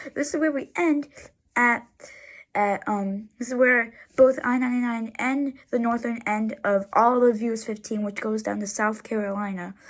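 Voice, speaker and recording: The recording is very clean, with a silent background. A woman speaks at a moderate pace and fairly high pitch, with ordinary pitch variation. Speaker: roads and highway video creator. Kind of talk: casual commentary over road sign pictures. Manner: halting, many restarts and repetitions.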